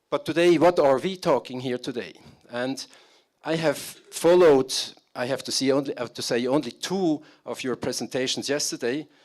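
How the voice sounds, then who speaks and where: A man with a fairly high pitch speaks at a moderate pace with ordinary pitch variation. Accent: German. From Switzerland. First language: German. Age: 50s. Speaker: business consultant. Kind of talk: conference talk. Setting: stage with audience. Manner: halting.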